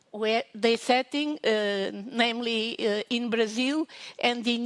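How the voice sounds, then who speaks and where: A very slow, fairly high-pitched woman's voice in a Portuguese accent, with fairly even intonation and a dry, close sound with no echo. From Portugal. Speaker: professor. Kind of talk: conference talk. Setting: online conference. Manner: halting.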